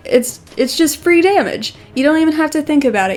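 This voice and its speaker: Female speech with ordinary pitch variation, noticeable background noise behind it. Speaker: digital artist and video creator. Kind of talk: casual commentary over speed drawing. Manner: unscripted, hesitant.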